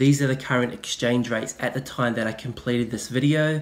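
This is a man speaking with a New Zealand accent. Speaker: investing YouTuber. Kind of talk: tutorial.

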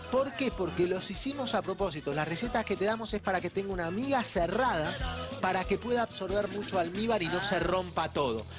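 A man talks fairly quickly. Clear music sounds behind him. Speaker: TV presenter. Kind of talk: tutorial. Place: studio. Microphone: lapel.

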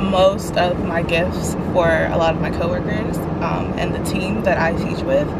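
A woman's voice with ordinary pitch variation, dry sound with no echo, and loud background noise. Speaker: vlogger, teacher. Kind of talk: casual vlog chat. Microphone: phone near.

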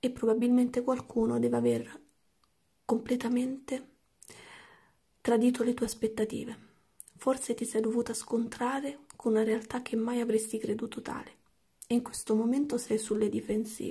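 A woman speaks in a fairly high pitch with a dark, mellow tone and monotone, flat intonation. She leaves long, frequent pauses over a quiet background. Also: moderate pace. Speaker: tarot card reader; tarot reader. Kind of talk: tarot reading. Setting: at home late at night. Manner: speaking quietly. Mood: calm, empathetic. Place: home room.

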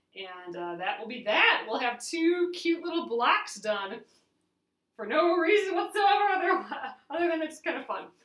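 Amid audible room echo, a woman with a high pitch and a fairly bright tone speaks at a moderate pace with big pitch swings.

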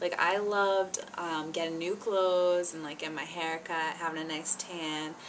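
Woman with a fairly low pitch, ordinary pitch variation, moderate pace and light background noise. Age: 20s. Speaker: vlogger. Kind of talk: casual vlog talk to camera. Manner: animated. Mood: cheerful, nostalgic. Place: home room. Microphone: webcam.

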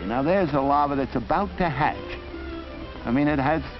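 Music runs in the background behind a man's voice. His fairly high pitch shows ordinary variation. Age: old. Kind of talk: educational film narration. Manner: meandering, hesitant, stammering.

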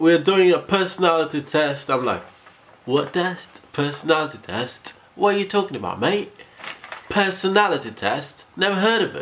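High-pitched male speech at a moderate pace, with ordinary pitch variation. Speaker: vlogger. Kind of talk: casual vlog chat. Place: home room. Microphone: phone near.

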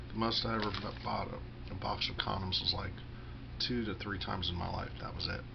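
A man's very deep, low voice with very wide pitch swings and a fairly quick pace over noticeable background noise. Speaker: vlogger. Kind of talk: casual monologue vlog. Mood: self-deprecating, candid. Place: home room. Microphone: webcam.

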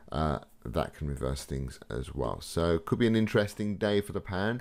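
A man with a very deep, low pitch. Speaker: trading educator. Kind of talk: tutorial.

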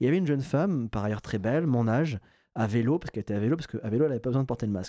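A man talks at a medium pitch with lively intonation and a dark, mellow tone. The sound is dry with no echo, over a quiet background. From southwest France, Bayonne; southwest France. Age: 30s. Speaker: political journalist. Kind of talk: interview. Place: studio. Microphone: studio mic.

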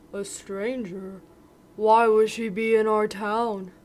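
The speech moves at a fairly slow pace. The voice is a put-on character voice. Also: female-sounding voice, fairly high pitch for a woman. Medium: read story. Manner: suspicious, then eager.

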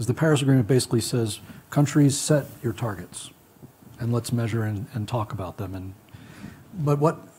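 Somewhat breathy and dark, mellow in tone, a man with an American accent talks at medium pitch and a fairly quick pace. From United States. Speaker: panelist. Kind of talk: panel discussion. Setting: stage with audience. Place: stage. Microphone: lapel.

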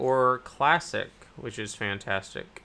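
The speaker is a man. His pitch moves with ordinary variation. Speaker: cryptocurrency YouTuber. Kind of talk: casual news commentary. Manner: hesitant, many fillers. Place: home room.

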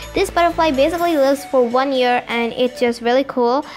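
Clear music plays behind a woman with a high-pitched voice. She talks at a moderate pace with ordinary pitch variation. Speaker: vlogger touring exhibit. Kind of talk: casual vlog commentary. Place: hall. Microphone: phone near.

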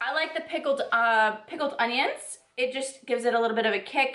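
Faint music plays behind a woman with a high pitch and ordinary pitch variation. The room echo is audible. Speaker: fitness vlogger. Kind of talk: casual vlog chat. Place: home room. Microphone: phone near.

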